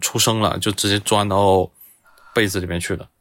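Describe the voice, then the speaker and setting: Here a man uses a normal speaking voice at a fairly low pitch. He keeps a moderate pace and fairly even intonation. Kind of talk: storytelling.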